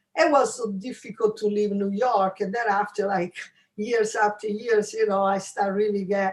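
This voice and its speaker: A woman speaks at a moderate pace with an Italian accent. Her pitch sits in the medium range. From Italy, Rome. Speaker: jazz pianist. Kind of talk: interview. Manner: halting.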